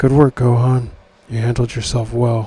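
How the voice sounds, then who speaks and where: A man puts on a character voice at a medium pitch and a moderate pace. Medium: read story. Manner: grim, terse.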